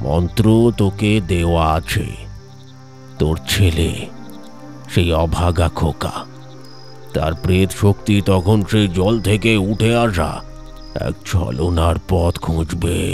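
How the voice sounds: Over clear background music, a man in a put-on character voice, booming and resonant, speaks at a very slow pace.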